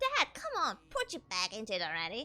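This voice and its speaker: Putting on a character voice, a woman speaks at a fairly quick pace, strained and fairly high in pitch. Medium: virtual streamer. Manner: chatty, salesy, friendly yet aggravating.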